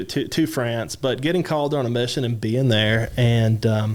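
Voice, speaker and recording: The speaker is a man. He talks with a Kentucky accent. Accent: Kentucky drawl. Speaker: university French department chair. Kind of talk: interview answer.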